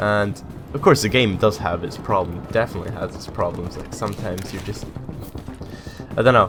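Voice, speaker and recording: A man is speaking. Music plays in the background. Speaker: gaming commentator. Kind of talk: casual talk to camera.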